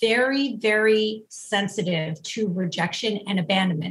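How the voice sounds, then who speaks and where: Using a plain, everyday voice, a woman speaks fairly slowly at a fairly high pitch with ordinary pitch variation. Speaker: relationship therapist. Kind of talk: interview. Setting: video call.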